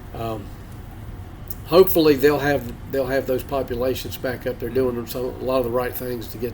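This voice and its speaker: Pausing long and often, a man with a North Carolina accent speaks at a moderate pace with fairly even intonation. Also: medium pitch for a man. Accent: Southern US, North Carolina. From North Carolina (Statesville). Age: 60s. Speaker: beagle houndsman. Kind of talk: interview.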